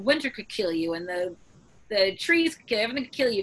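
With lively intonation, a woman speaks at a very fast pace. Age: 40s. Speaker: author and newspaper columnist. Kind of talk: casual interview chat. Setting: video call.

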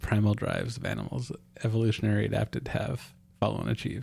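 A man talks at a very fast pace, his voice somewhat breathy. His pitch sits fairly low, with a dark, mellow tone. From Alaska. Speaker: podcast host. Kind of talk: casual chat.

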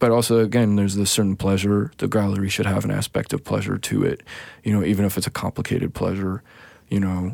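This man speaks very fast in a fairly low pitch, with a western Canadian accent and fairly even intonation. His loudness stays very even on a very clean recording with a silent background. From Saskatchewan, Canada. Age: 30s. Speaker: visual artist. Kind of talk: casual interview conversation. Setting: studio. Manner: halting, many fillers and restarts.

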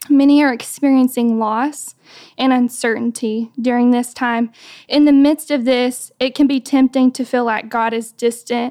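With an American accent, a woman speaks at a high pitch and a fairly slow pace, her intonation monotone and flat. The recording is very clean, with a silent background and a dry, close sound with no echo. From US South. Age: 20s. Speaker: speaker at a women's ministry. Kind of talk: devotional talk. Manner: hesitant with frequent fillers.

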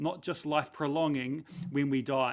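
A man with a New Zealand accent at a moderate pace, in a very clean recording with a silent background. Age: 40s. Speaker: pastor. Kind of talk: talk. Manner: animated.

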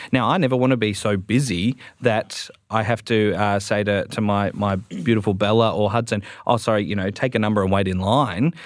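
A man with an Australian accent talks at a fairly quick pace and a fairly low pitch. His intonation stays fairly even, and the recording is very clean with a silent background. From Melbourne, Australia. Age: 20s. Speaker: Salvation Army officer. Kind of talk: panel discussion. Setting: studio.

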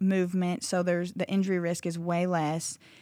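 A dark, mellow tone at a moderate pace, with a US Midwestern accent. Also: woman. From Iowa, small town. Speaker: gym owner. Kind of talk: interview. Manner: halting, many fillers.

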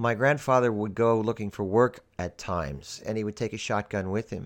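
Against a quiet background, a man with a normal speaking voice and fairly low pitch talks at a moderate pace with ordinary pitch variation. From Pennsylvania, US. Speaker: podcast host. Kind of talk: scripted monologue.

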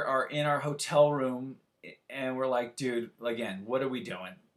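At a fairly slow pace, a man in a Californian accent talks at a medium pitch with ordinary pitch variation. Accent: Californian American. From Santa Barbara, California. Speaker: rock guitarist. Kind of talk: casual interview chat.

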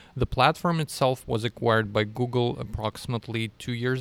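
Moderate-paced man with a Russian accent and medium pitch, on a very clean recording with a silent background. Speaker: data scientist. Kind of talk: interview.

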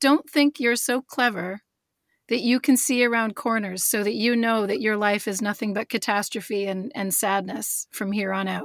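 A woman with an ordinary speaking voice, a fairly high pitch, and ordinary pitch variation speaks at a moderate pace in a dry, close sound with no echo. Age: 40s. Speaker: author. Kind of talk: interview.

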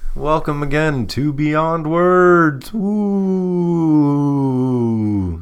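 A put-on character voice at a middle pitch, very slow with hardly any pauses, over noticeable background noise. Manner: spooky, eerie.

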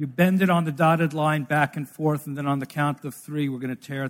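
With an American accent, a man speaks in a plain, everyday voice at a fairly high pitch, his intonation fairly even, on a very clean recording with a silent background. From New York City, Brooklyn. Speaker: missionary researcher. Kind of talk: church presentation.

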